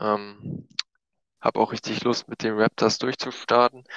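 Very slow speech from a man, the sound dry and close without echo. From Brandenburg, eastern Germany (Eisenhüttenstadt). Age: 20s. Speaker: gaming league player. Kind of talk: casual chat. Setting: at home in quarantine.

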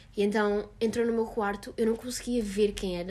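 A woman talks at a fairly quick pace with a fairly high pitch. It is an ordinary speaking voice. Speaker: podcast guest. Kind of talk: casual chat.

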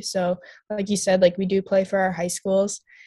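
In an Upper Midwest accent, a woman speaks at a moderate pace and medium pitch, somewhat breathy and monotone, with flat intonation in a dry, close sound with no echo. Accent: Upper Midwest American. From Minnesota. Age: young. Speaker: college ice hockey player. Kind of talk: casual interview.

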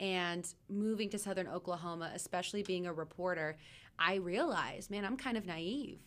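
In an ordinary speaking voice, a woman talks at a moderate pace with an American accent. Her loudness stays very even, her pitch varies in an ordinary way, and the recording is very clean with a silent background. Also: medium pitch for a woman. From Texas, Dallas area. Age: 20s. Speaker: TV news anchor. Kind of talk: casual interview.

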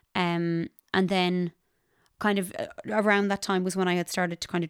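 A woman with a western Irish accent talks at a medium pitch, the sound dry and close with no echo. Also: very clean recording, silent background. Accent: Irish (west of Ireland). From Ireland, Ballinasloe, County Galway. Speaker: singer-songwriter and music teacher. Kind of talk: casual interview.

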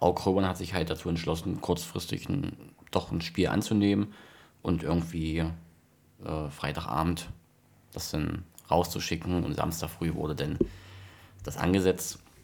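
The man's voice is very deep and low. He keeps to a medium tempo. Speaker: amateur football podcast host. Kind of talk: casual chat. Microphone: too quiet, far from mic.

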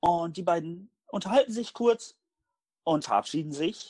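A man speaks at a fairly slow pace in a high pitch with very wide pitch swings. The sound is dry and close, with no echo. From northern Germany, Hamburg. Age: 20s. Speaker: podcast host. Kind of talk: casual chat.

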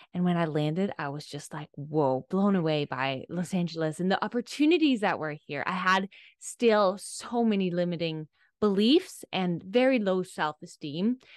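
A woman with a Danish accent talks at a moderate pace and a fairly low pitch, with lively intonation. The sound is dry and close with no echo, over a quiet background. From Denmark. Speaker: life coach. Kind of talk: casual chat.

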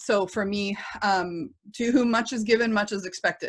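Fairly slow and at a medium pitch, a woman speaks in an unremarkable speaking voice. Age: 30s. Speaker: working homeschool mom. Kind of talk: casual interview.

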